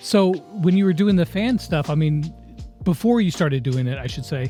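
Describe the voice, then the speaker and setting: Music plays in the background as a man with a fairly high pitch speaks at a moderate pace with lively intonation. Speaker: gaming YouTuber. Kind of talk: interview host questions.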